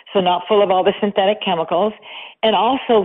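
There is noticeable background noise. Over it, a woman speaks with ordinary pitch variation. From western Canada (Vancouver). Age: 60s. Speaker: makeup artist and beauty brand founder. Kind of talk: interview. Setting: phone call.

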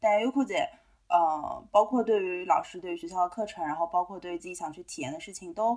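A woman speaks in an ordinary speaking voice at medium pitch and a fairly quick pace. Her loudness swings widely while her pitch varies in an ordinary way. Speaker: podcast co-host. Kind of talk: casual chat.

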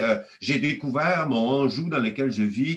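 A man's somewhat breathy voice at medium pitch, delivered at a very slow pace. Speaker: economics professor. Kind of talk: interview. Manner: halting.

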